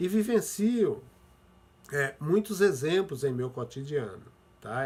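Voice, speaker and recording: Some breathiness runs through the voice. Its pitch moves in an ordinary way. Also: man. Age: 60s. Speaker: pastor. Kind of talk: sermon.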